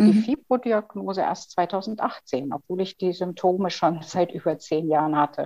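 Her dark, mellow tone carries lively intonation as the woman speaks. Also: dry, close sound with no echo. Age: 50s. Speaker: chronic pain patient and author. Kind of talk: interview.

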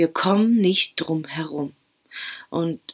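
A woman speaks in a soothing, gentle tone, recorded dry and close with no echo. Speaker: podcast host and meditation guide. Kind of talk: guided meditation, calm and spoken directly to the listener in du-form. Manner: slow, soothing, soft-spoken with long pauses; gentle, intimate, encouraging.

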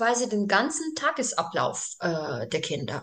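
Speaking very slowly with vocal fry, a woman's voice moves through very wide pitch swings. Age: 40s. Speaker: daycare group leader. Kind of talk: interview. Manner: halting, many fillers.

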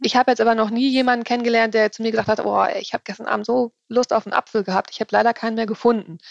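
Very fast speech with hardly any pauses from a woman at a fairly high pitch, monotone and flat, in a dry, close sound with no echo. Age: 40s. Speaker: nutrition consultant and author. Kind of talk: interview.

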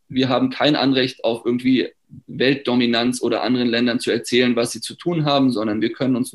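A man at a fairly quick pace, medium in pitch, with fairly even intonation. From Germany. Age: 30s. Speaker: startup founder. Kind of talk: interview. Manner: hesitant with many fillers.

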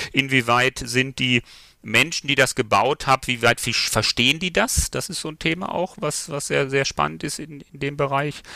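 This man has a bright, sharp tone with vocal fry and a fairly high pitch, speaking at a moderate pace. His loudness swings widely, and the sound is dry and close with no echo. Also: ordinary pitch variation. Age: 50s. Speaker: software company founder. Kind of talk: interview. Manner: hesitant fillers.

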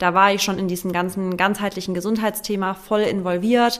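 Here is a woman with an unremarkable speaking voice at medium pitch. She talks at a fairly quick pace with fairly even intonation. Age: 30s. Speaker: content creator and nutrition coach. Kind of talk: casual chat.

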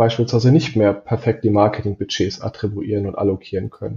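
A man speaks in a somewhat breathy voice. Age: 30s. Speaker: performance marketing manager. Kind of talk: casual interview.

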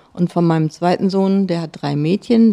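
In a dry, close recording with no echo, a woman speaks at a fairly low pitch with a dark, mellow tone. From Schleswig-Holstein, Neumünster. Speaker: author and former journalist. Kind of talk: casual interview.

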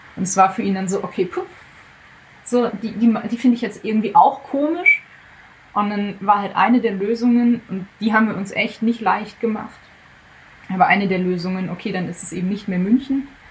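With noticeable background noise behind her, a woman speaks at a moderate pace in a fairly high pitch with ordinary pitch variation. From Germany. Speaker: guest telling her breakup story. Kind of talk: casual interview. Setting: guest room in Zurich.

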